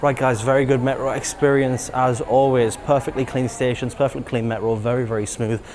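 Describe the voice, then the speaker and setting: Noticeable background noise sits behind a man with an English accent. His medium-pitched voice is monotone and flat, moving at a fairly quick pace. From England. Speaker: travel vlogger. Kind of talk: travel vlog. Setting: on a subway train. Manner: soft-spoken.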